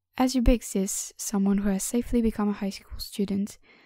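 A woman speaks with fairly high pitch, a dark, mellow tone and a non-native accent. Her intonation stays fairly even in a very clean recording with a silent background. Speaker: audiobook narrator. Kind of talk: reading aloud.

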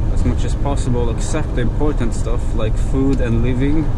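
Loud background noise fills the recording. A man talks through it at a moderate pace. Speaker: truck driver vlogger. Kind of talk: casual vlog chat. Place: car.

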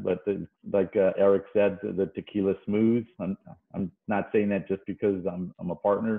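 A man's fairly low, monotone voice at a moderate pace against a quiet background. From Tampa, Florida; Florida. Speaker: tequila brand partner; guest. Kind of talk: casual chat. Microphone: video call.

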